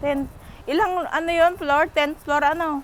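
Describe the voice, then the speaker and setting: Light background noise can be heard. The sound is dry with no echo. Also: woman. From Philippines. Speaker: vlogger, factory worker abroad. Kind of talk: casual vlog narration. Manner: animated.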